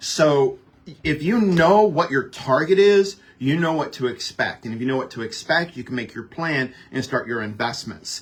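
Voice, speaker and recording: A man's fairly high voice, lively in intonation, at a moderate pace. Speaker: financial advisor. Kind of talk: radio interview.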